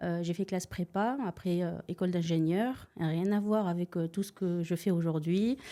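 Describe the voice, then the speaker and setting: Fairly slow and with hardly any pauses, a woman speaks at a fairly low pitch in a dark, mellow tone, keeping her loudness very even with ordinary pitch variation on a very clean recording with a silent background. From Tunisia. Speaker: real estate investor. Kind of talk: podcast interview. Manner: hesitant, many filler sounds.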